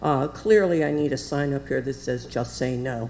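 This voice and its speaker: Behind the woman there is noticeable background noise. She keeps a moderate pace. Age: 70s. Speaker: public commenter. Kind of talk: public comment. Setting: city commission meeting. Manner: halting.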